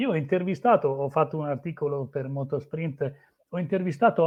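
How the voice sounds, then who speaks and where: The voice is a man's, fairly high in pitch. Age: 60s. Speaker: motorsport journalist. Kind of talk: interview. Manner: halting, many fillers.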